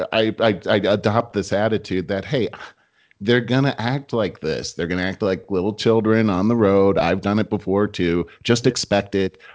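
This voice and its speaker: A man talks in a normal speaking voice with a fairly low pitch. His pace is moderate and his pitch variation ordinary. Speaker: podcast co-host, sales leader. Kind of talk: casual chat.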